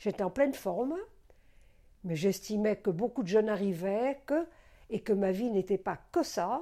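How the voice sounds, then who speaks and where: Dark, mellow tone with lively intonation at a moderate pace, on a very clean recording with a silent background. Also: woman. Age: 80s+. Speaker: retired doctor and psychoanalyst. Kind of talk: personal testimony interview. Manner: halting; emotional.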